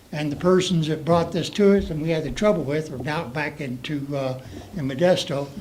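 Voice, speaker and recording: A man with a fairly high pitch is heard amid noticeable background noise and audible room echo. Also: ordinary pitch variation, fairly quick pace. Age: 70s. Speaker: public commenter at council meeting. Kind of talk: public comment. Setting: council meeting room. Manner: halting.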